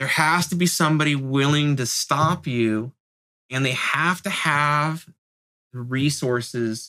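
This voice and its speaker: The tone is bright and sharp, with an American accent. Pacing is fairly slow, and pitch varies in an ordinary way. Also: man. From San Francisco Bay Area, North Bay. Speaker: graffiti writer. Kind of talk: interview.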